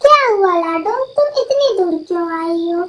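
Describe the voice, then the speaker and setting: A woman performs a cartoonish character voice, squeaky and extremely high-pitched. Her pitch swings very widely at a moderate pace. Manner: stern yet kindly.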